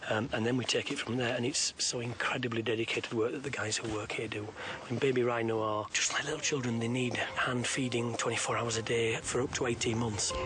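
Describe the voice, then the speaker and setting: A very fast whisper with hardly any pauses over noticeable background noise. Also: man. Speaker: wildlife conservationist. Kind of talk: interview. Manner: whispering.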